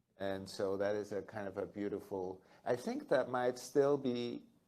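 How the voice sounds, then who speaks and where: At a fairly slow pace, a man with a medium pitch and a dark, mellow tone keeps his intonation fairly even. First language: German. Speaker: photographer. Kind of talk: onstage conversation.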